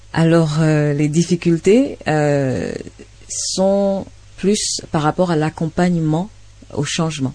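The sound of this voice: With a dark, mellow tone and low pitch, a woman speaks slowly and with ordinary pitch variation.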